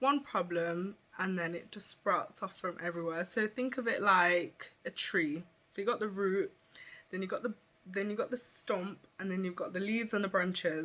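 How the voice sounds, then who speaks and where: A woman speaks at a moderate pace in a bright, sharp tone with ordinary pitch variation. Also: medium pitch for a woman. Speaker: beauty influencer. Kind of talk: personal vlog. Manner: halting.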